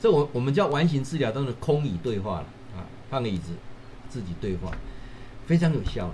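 Very wide pitch swings at a fairly quick pace, with long, frequent pauses and audible room echo. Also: man, medium pitch for a man. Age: 50s. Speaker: professor and livestream host. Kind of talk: livestream talk. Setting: livestream. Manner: animated.

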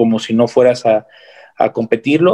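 At a fairly slow pace, a man speaks at a medium pitch with a dry, close sound and no echo. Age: 20s. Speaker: bodybuilder and fitness coach. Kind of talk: interview.

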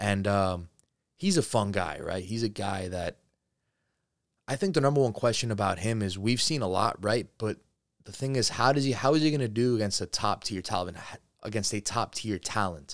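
On a very clean recording with a silent background, a man with an American accent uses an ordinary speaking voice, fairly low in pitch, with ordinary pitch variation at a moderate pace. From New Jersey. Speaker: MMA podcast host. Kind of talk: solo sports commentary show. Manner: casual, filler-heavy.

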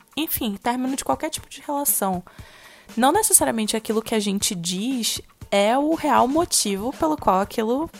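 A woman's fairly high voice at a moderate pace, with lively intonation and big swings in loudness. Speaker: podcast co-host. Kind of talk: casual chat.

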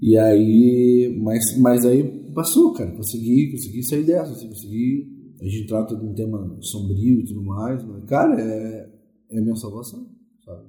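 A man speaks at a fairly slow pace in a dark, mellow, somewhat breathy tone. His loudness swings widely, and the room echo is audible. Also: medium pitch for a man, ordinary pitch variation. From Porto Alegre, southern Brazil. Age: 40s. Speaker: musician and ghost tour guide. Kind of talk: interview.

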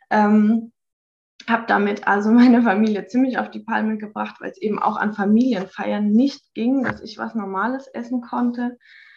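With a fairly high pitch and a somewhat breathy sound, a woman speaks at a moderate pace in a flat monotone, her loudness swinging widely. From Baden-Württemberg, Hockenheim. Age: 30s. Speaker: organic farmer. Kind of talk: personal testimony interview. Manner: halting, many fillers.

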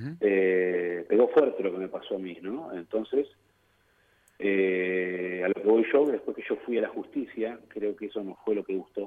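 A man talks fairly slowly, his loudness swinging widely. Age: 40s. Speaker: football player. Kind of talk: interview.

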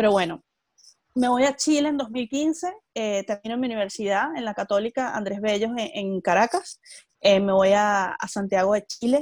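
A woman's fairly high pitch with lively intonation at a moderate pace, dry and close with no echo, in a very clean recording with a silent background. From Venezuela. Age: 20s. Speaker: entrepreneur and emigrant. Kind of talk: interview. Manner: articulate, engaging speaker.

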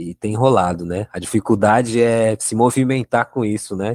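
A man's ordinary speaking voice, fairly low in pitch, with fairly even intonation at a moderate pace on a very clean recording with a silent background. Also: dry, close sound with no echo. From São Paulo, south zone periphery. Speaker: jazz musician and musicology student. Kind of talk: podcast interview discussion.

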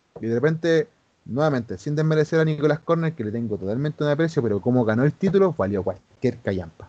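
The speaker has a Chilean accent and a dark, mellow tone. The recording is dry and close, with no echo. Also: man. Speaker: former pro wrestler. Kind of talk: casual chat.

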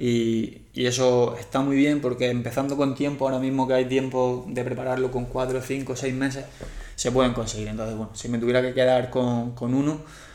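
Amid noticeable background noise and audible room echo, a man speaks at a moderate pace in a medium pitch, flat and monotone. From Spain, Murcia. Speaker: endurance coach. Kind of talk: casual interview chat.

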